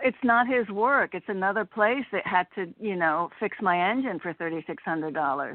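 This woman uses a normal speaking voice at medium pitch, moving at a moderate pace with lively intonation and hardly any pauses. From Connecticut. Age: 60s. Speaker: caller. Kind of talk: casual chat. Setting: phone call.

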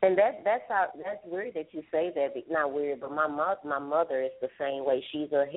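A woman speaks at a moderate pace in a very deep, low voice. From Texas. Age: 40s. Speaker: hairstylist. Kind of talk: call-in testimony. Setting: phone call.

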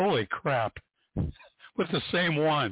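A man speaks slowly at a fairly high pitch. His pitch swings widely.

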